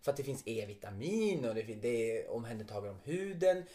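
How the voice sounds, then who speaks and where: This man has an unremarkable speaking voice. He keeps a moderate pace. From Västerbotten, northern Sweden. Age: 30s. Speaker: podcast co-host, actor/performer.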